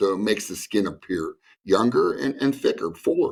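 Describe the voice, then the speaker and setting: A man uses a normal speaking voice at a moderate pace. His intonation is lively. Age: 60s. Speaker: fat-loss clinic owner. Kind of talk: sponsored TV segment interview.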